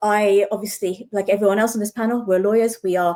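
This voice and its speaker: Talking at a fairly quick pace, a woman with a British accent has fairly high pitch and a dark, mellow tone. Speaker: lawyer. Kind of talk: panel discussion.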